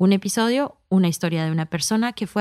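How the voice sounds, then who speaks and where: A woman with a plain, everyday voice speaks at medium pitch and a moderate pace, her intonation lively and the sound dry and close with no echo. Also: very clean recording, silent background. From US, New York, Colombian immigrant family. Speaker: podcast creator and executive producer. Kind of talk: scripted narration.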